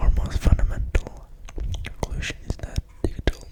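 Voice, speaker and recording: Noticeable background noise fills the clip. A voice whispers through it. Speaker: ASMR creator. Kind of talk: ASMR book reading. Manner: whispered, soft-spoken.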